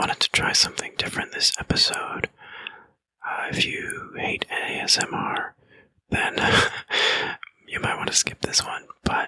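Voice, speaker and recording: The speaker whispers at a moderate pace. Long pauses come often. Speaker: mental health podcast host. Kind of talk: podcast monologue. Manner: whispered.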